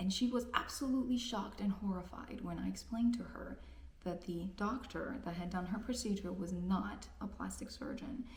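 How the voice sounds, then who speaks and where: A woman's medium-pitched voice at a moderate pace with ordinary pitch variation, audible room echo and noticeable background noise. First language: Spanish. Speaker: physician. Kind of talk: persuasive commentary.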